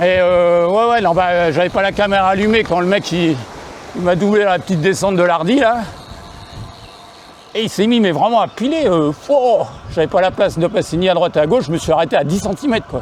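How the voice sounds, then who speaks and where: A man with a high pitch and ordinary pitch variation, moderate in pace with long, frequent pauses, over noticeable background noise. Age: 60s. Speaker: cycling vlogger. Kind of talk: casual vlog narration. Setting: outdoors on a bike. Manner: halting.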